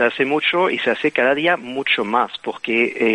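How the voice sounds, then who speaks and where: A man's voice over noticeable background noise. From Belgium. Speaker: bioengineer. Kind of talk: interview. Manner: hesitant.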